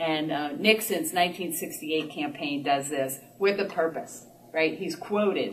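At a fairly slow pace, a woman speaks with a very deep, low pitch over light background noise. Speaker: lecturer or speaker. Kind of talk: lecture. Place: meeting room. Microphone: camera far.

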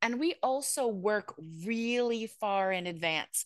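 Against a quiet background, a woman speaks very slowly with ordinary pitch variation and a dry sound with no echo. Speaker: podcast producer and university lecturer; podcast producer, university lecturer. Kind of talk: panel discussion. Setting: video call. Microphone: video call.

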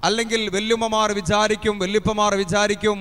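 Here a man speaks at a high pitch. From Kerala, India. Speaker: Islamic preacher. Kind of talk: sermon. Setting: madrasa gathering with audience. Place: stage. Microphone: handheld.

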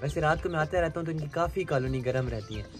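With clear music in the background, a man talks at a fast pace and a fairly high pitch, his pitch varying in an ordinary way.

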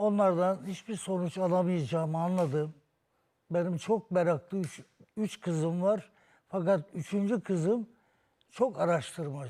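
Here a man talks slowly-ish, at a fairly slow pace, with a high pitch and a dark, mellow tone. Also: ordinary pitch variation. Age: 70s. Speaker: patient, interior architect and painter. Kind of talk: testimony. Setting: TV studio.

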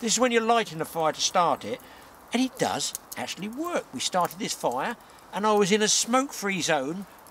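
A man speaks at high pitch with big pitch swings and a fairly bright tone. He keeps a moderate pace over faint background noise.

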